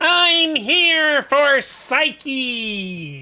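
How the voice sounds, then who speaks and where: This is a high-pitched, female-sounding voice doing a put-on character. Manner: demanding, aggressive.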